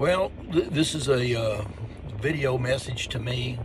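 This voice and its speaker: Noticeable background noise accompanies a man whose pitch varies in an ordinary way. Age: 70s. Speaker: video blogger. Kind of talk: video diary rant. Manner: halting. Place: car. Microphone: phone near.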